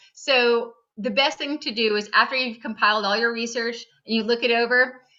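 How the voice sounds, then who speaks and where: The woman's voice is fairly high in pitch. Her intonation stays fairly even. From California, San Francisco. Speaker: nonfiction writer. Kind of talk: interview with school class. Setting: video call.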